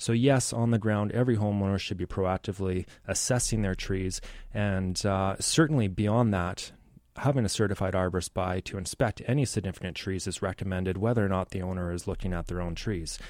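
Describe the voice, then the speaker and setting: In an ordinary speaking voice, a man with a Canadian accent talks at a fairly quick pace and a fairly low pitch, with ordinary pitch variation, on a very clean recording with a silent background. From Richmond, British Columbia, Canada. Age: 30s. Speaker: arborist. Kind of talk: radio interview. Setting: studio.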